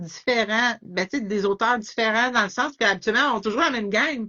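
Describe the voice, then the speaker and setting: This is a woman speaking. She talks in a Quebec accent. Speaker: author. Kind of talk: interview. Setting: Instagram live.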